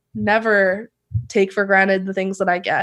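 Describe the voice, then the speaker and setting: The pace is moderate. It is a woman talking. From Canada, Vancouver B.C. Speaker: professional basketball player. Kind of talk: casual interview.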